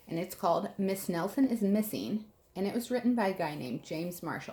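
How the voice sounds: The text is read in a natural voice whose pitch varies in an ordinary way.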